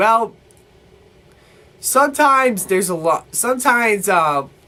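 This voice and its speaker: A man's raised, projected voice at a high pitch, fairly slow, with very wide pitch swings. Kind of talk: casual movie review to camera.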